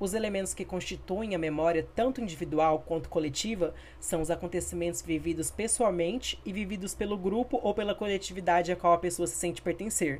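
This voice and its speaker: In a plain, everyday voice, a woman speaks at a fairly quick pace with hardly any pauses. Her pitch is fairly low, with ordinary pitch variation. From Brazil, Campo Grande (Mato Grosso do Sul). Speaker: history student. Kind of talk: educational podcast presentation.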